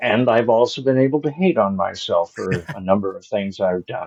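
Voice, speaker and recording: A plain, everyday voice from a man, medium in pitch, at a moderate pace. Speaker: actor. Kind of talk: interview answer.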